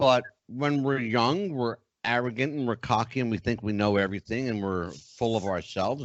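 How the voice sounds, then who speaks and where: A man speaks with a Philadelphia accent at medium pitch. He goes at a fairly quick pace with ordinary pitch variation. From Philadelphia, US. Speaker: psychic medium and show host. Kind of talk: casual chat.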